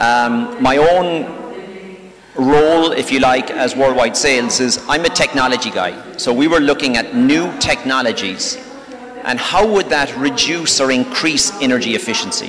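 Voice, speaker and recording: A man with an Irish accent speaks in a fairly high voice with lively intonation and very even loudness. Noticeable background noise runs under him. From Ireland. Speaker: technology sales executive. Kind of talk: panel talk. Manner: fast.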